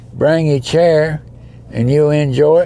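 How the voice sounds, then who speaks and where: A man with a fairly high pitch speaks at a fairly slow pace. Noticeable background noise runs underneath. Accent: Alabama. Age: 80s+. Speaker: charity event founder. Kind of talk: casual interview.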